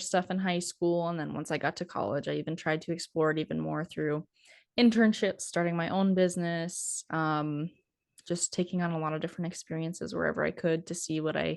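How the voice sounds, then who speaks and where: Fairly quick in pace, a woman talks with fairly low pitch and ordinary pitch variation. The background is quiet. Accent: northern US. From North Dakota, US. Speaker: cattle producer and podcaster. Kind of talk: interview conversation.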